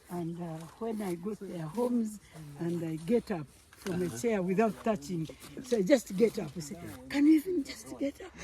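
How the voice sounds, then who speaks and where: Over noticeable background noise, a woman at a medium pitch talks at a moderate pace, with very wide pitch swings and big swings in loudness. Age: 80s+. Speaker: coffee farmer. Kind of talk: farm tour conversation.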